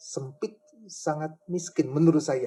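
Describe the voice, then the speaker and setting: Speaking at a fairly slow pace, a man uses a fairly high voice with a dark, mellow tone. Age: 60s. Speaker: church elder. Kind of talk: interview.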